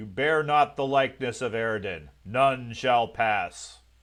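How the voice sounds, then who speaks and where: Putting on a gravelly character voice at a medium pitch, a man speaks at a fairly slow pace with big swings in loudness. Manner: commanding, menacing.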